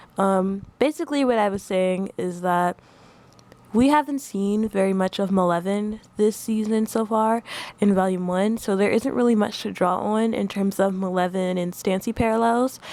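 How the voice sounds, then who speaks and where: With noticeable background noise behind her, a woman talks at a moderate pace in a medium pitch with ordinary pitch variation. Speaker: video essayist. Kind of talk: casual video essay commentary.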